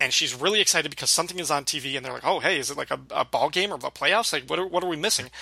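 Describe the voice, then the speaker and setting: A man speaks over noticeable background noise. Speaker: podcast host. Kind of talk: casual chat. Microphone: cheap earbud mic after main mic broke.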